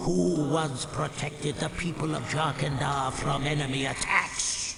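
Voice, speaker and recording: A man's put-on character voice, fairly high in pitch and fairly slow, with clear echo and clear background noise. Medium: machinima. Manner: formal, archaic, solemn.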